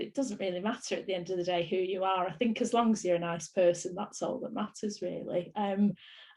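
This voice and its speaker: A woman is talking. Some breathiness runs through her voice. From northern England, Bolton. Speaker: actress. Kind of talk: interview.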